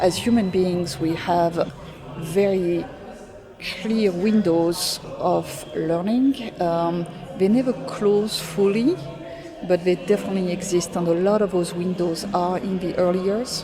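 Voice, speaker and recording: A woman's medium-pitched voice with a non-native accent, fairly even intonation and a fairly slow pace, plus audible room echo and noticeable background noise. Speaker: education executive. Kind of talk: podcast interview.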